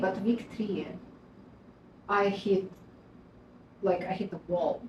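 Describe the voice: A slightly mellow tone at a fairly slow pace, with audible room echo. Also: woman.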